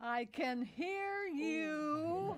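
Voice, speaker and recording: A woman uses a put-on character voice that is high-pitched and whiny. Her intonation is lively. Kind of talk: comic melodrama reading. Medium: stage play. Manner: whiny, complaining.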